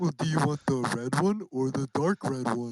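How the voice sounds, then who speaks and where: The speaker uses a put-on character voice pitched low to middle. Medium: actual play.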